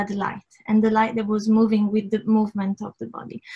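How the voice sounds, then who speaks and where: A woman speaks with an Italian accent in a fairly high, somewhat breathy voice. The background is quiet. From Italy. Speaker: art director and creative technologist. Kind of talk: online presentation. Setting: video call with screen share. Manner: halting, many fillers and restarts. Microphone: video call.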